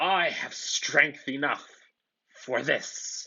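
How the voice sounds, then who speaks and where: This put-on character voice is growling. It sits at a low-to-middle pitch. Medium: read story. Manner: menacing.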